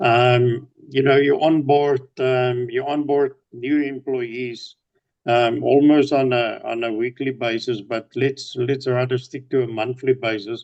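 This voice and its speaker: A man with a South African accent, fairly slow and monotone, with flat intonation. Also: medium pitch for a man. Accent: Afrikaans South African English. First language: Afrikaans. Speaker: business owner. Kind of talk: casual video-call chat. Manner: repetitive, halting with fillers.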